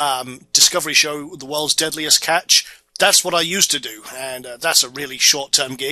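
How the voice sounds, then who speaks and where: In a Scottish accent, the speaker uses a bright, sharp tone with fairly even intonation. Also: man. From Scotland, Orkney Islands. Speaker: internet marketing instructor. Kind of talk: tutorial. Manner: casual.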